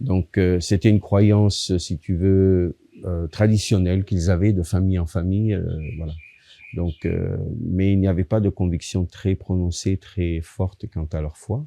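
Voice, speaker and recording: A man with an Italian accent speaks in a very deep, low voice with a dark, mellow tone. His pace is fairly slow and his intonation fairly even against a quiet background. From Italy, moved to France at 10. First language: Italian (speaking French). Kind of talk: testimony. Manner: halting, many fillers.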